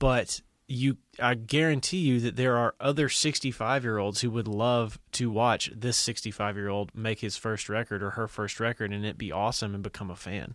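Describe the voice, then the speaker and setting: A man talks in a normal speaking voice at medium pitch and a moderate pace, with ordinary pitch variation. The recording is very clean, the background silent. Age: 30s. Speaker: podcast host. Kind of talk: casual chat.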